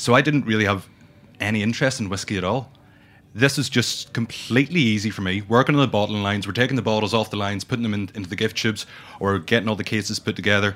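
A man talks at a very fast pace in a Northern Irish accent. His pitch sits fairly low. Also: ordinary pitch variation. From Northern Ireland. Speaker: brand ambassador and whiskey educator. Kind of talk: casual interview chat. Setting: studio.

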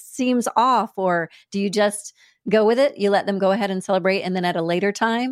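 In a very clean recording with a silent background, a woman uses a normal speaking voice at medium pitch, moderate pace and ordinary pitch variation, the sound dry and close with no echo. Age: 50s. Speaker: podcast host, leadership development director. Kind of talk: podcast interview.

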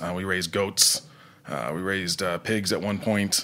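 At a moderate pace, a man with a very deep, low voice and a bright, sharp tone speaks with fairly even intonation. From Nova Scotia, Canada. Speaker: chef. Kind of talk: interview. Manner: halting, many fillers and repetitions.

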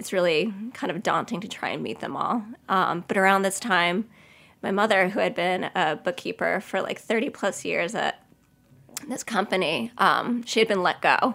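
Recorded very cleanly over a silent background, a woman with an American accent speaks at a moderate pace and medium pitch with ordinary variation. Her tone is bright and sharp, with vocal fry. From US Northeast (Long Island, New York). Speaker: pastry chef. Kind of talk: interview, personal testimony.

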